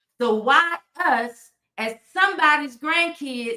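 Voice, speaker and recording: A woman shouts in a raised, projected voice. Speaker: political commentator. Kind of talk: live stream commentary. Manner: loud, yelling; animated.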